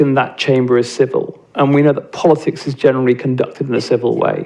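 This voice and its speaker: A man in a British accent speaks at a moderate pace. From England. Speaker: nonprofit CEO and panelist. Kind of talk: panel talk. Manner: halting, many fillers and restarts.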